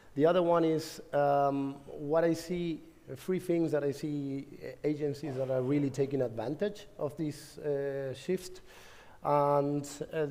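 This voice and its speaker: With a Spanish accent, a man speaks at a fairly slow pace in a fairly high pitch with fairly even intonation. His tone is dark and mellow, and audible room echo surrounds him. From Argentina. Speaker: conference speaker, tech company manager. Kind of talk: conference talk. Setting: stage with audience. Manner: halting, many fillers and repetitions.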